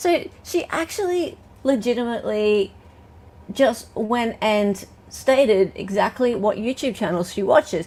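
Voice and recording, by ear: Speaking at a fairly slow pace, a woman with an Australian accent has a fairly high pitch, a slightly mellow tone and lively intonation.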